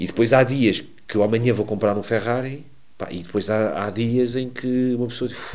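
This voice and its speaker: The voice belongs to a man and sits at a medium pitch. Its rise and fall is ordinary. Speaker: streamer and gaming coach. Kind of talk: interview. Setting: gaming fair.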